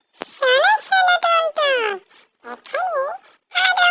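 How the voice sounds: This is a cartoonish character voice, squeaky and extremely high in pitch. It moves along at a very slow pace.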